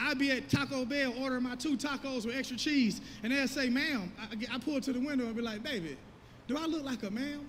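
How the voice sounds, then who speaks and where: Extremely high in pitch, a man talks at a very fast pace with fairly even intonation. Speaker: preacher. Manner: conversational storytelling, engages audience.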